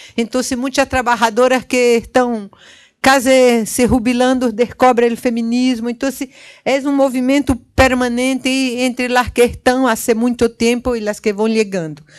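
Monotone, flat intonation at a moderate pace over a quiet background. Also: woman, high pitch for a woman. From Northeast Brazil, Recife; Northeast Brazil. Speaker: feminist activist, panel speaker; panelist. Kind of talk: conference panel talk. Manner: halting, many fillers. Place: hall. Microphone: handheld.

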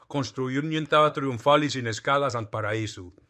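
With a quiet background, a man in a plain, everyday voice talks at a moderate pace and a fairly high pitch. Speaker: political satirist impersonating a politician. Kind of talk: satirical mock prayer of thanksgiving, parody speech. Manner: mock-solemn, deadpan piety dripping with sarcasm.

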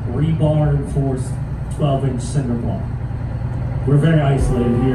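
A man talks at a fairly quick pace amid loud background noise and audible room echo. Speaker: boat tour guide. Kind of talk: tour guide commentary. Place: boat. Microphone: camera far.

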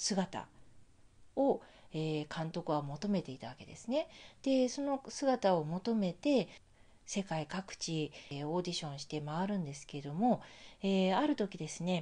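A woman's dark, mellow, fairly low voice with very wide pitch swings and big swings in loudness, at a fairly slow pace, against a quiet background. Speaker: life coach and healer. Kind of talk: monologue film commentary. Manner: frequent fillers, measured pace.

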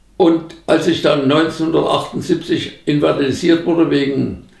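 A man speaks at a fairly slow pace against a quiet background. The room echo is audible. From Upper Franconia, Germany. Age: 80s+. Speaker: agricultural scientist. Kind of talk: interview answer. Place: home room.

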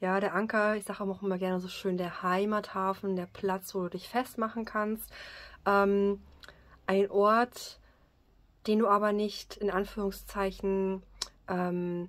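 Speaking at a very slow pace, a woman leaves long, frequent pauses. Her intonation is monotone and flat. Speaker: card reader. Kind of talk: card reading commentary. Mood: calm, warm. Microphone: phone near.

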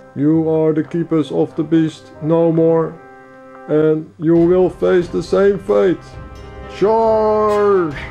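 A man puts on a character voice at a fairly high pitch over clear music in the background. He speaks at a very slow pace. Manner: boastful, aggressive.

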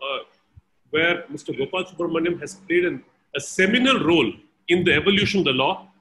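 The pace is moderate. The speaker is a man. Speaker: event host introducing a speaker. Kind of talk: formal introduction. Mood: respectful, honored. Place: home room. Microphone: video call.

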